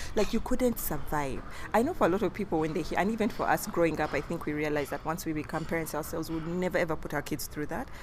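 Noticeable background noise surrounds a woman with a fairly low pitch. She speaks very fast in an animated tone with ordinary pitch variation. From Uganda. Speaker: podcast co-host. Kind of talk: casual chat. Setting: recorded standing, outside studio.

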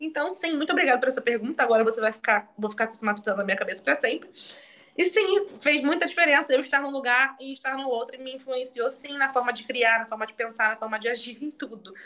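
The voice is raised and projected, moving at a very fast pace. Its intonation is lively and its loudness swings widely. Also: woman, high pitch for a woman. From Brazil, Magé (Rio de Janeiro state). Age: 20s. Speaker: actress. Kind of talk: casual interview. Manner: animated.

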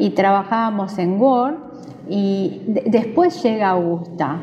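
A woman at a fairly slow pace with lively intonation, over music in the background. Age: 40s. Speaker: judge. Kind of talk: interview.

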